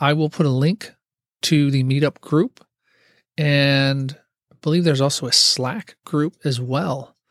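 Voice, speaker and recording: At a fairly slow pace, a man talks with a fairly high pitch, ordinary pitch variation and long, frequent pauses. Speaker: podcast host and IT worker. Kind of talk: solo casual monologue. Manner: halting, stumbling over words.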